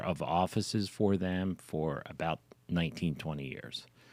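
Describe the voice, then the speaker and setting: At a moderate pace, a man with a Philadelphia accent speaks at a very deep, low pitch. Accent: Philadelphia-area American. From Pennsylvania, Philadelphia suburbs (King of Prussia). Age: 70s. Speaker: real estate broker. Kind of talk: interview. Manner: hesitant, many fillers.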